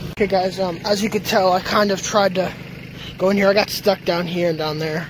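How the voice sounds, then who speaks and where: A fairly quick pace, a dry sound with no echo, and noticeable background noise. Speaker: hobbyist vlogger. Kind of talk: casual vlog chat. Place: garden. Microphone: phone near.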